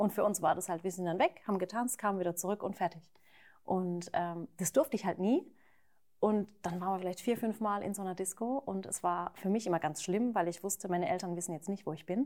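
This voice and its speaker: At a fairly quick pace, a woman speaks in a plain, everyday voice with medium pitch and ordinary pitch variation. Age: 30s. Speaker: YouTuber and mother of two. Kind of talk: casual chat. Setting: at her home, not a studio.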